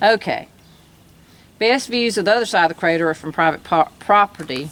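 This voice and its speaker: In an Alabama accent, a woman speaks at a moderate pace with a medium pitch and lively intonation. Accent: Southern US (Alabama). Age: 60s. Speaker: travel vlogger. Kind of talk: casual chat. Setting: outdoors.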